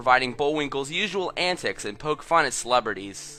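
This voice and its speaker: Lively intonation from a man, with noticeable background noise around the voice. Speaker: YouTuber. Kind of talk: online video narration.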